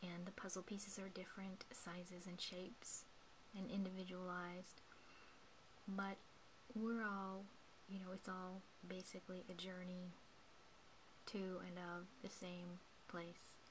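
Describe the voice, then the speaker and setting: A woman's soft-spoken whispering at a fairly slow pace, with long, frequent pauses and noticeable background noise. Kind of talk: guided meditation talk. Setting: indoors at night, home recording. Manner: whispered, soft-spoken.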